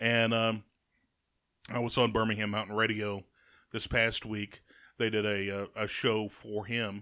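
Monotone and flat, the voice has a bright, sharp tone and long, frequent pauses. The recording is very clean, with a silent background. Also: man, fairly low pitch for a man, fairly slow pace. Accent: Alabama. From Alabama, Jasper. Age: 30s. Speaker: radio host. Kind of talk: casual chat.

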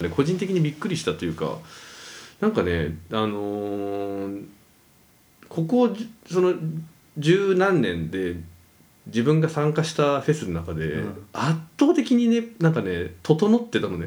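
Pitch swings very widely at a fairly slow pace, broken by long, frequent pauses. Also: man, fairly high pitch for a man. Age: 30s. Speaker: podcast co-host. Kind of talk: casual chat.

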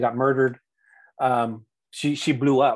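A man with an American accent, medium-pitched and at a moderate pace, in a very clean recording with a silent background. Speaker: author. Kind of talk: casual interview chat. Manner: halting, many fillers and repeats.

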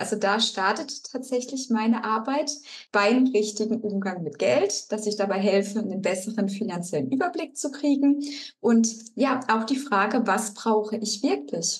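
A woman with a fairly high pitch speaks at a moderate pace with lively intonation against noticeable background noise. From Baden-Württemberg, Germany (Rastatt). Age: 30s. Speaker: financial coach. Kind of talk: interview.

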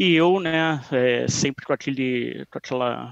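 The sound is dry and close, with no echo. It carries a man's voice. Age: 30s. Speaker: database security expert. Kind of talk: interview.

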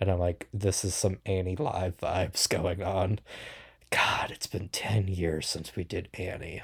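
Somewhat breathy delivery with fairly even intonation, in a very clean recording against a silent background. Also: man. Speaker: podcast host. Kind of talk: casual solo podcast rant. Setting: podcast recording.

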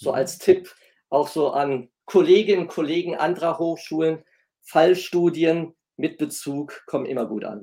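At a fairly slow pace, the dark, mellow voice shows ordinary pitch variation and big swings in loudness on a very clean recording with a silent background. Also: man. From Germany, Essen (North Rhine-Westphalia). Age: 50s. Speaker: professor. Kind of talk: interview. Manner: formal.

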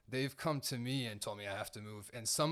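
In a very clean recording with a silent background, a man with an American accent and a plain, everyday voice speaks at a moderate pace with ordinary pitch variation. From Seattle, Washington. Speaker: drum teacher and former street performer. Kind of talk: casual interview.

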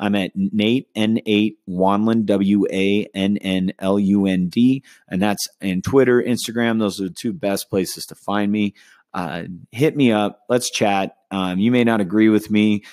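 Talking fairly slowly with a West Coast US accent, a man keeps a fairly low pitch and fairly even intonation. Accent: General American (West Coast). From California. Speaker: podcast host. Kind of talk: solo monologue. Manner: casual, with frequent fillers.

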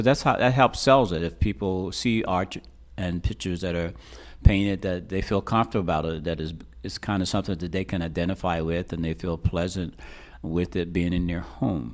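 A man with an American accent and vocal fry, fairly quick in pace, with ordinary pitch variation, on a very clean recording with a silent background. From Reading, Pennsylvania. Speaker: artist, muralist. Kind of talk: interview. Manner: halting.

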